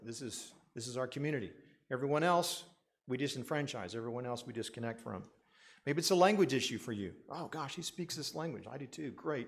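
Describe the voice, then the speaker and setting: A very fast man's voice at a medium pitch, with ordinary pitch variation and audible room echo. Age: 60s. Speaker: pastor. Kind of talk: sermon.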